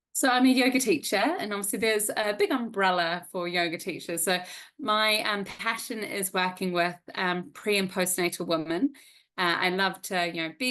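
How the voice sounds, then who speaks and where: A woman speaks with a New Zealand accent and a bright, sharp tone. Her pitch variation is ordinary, and the background is quiet. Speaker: yoga teacher. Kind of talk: interview.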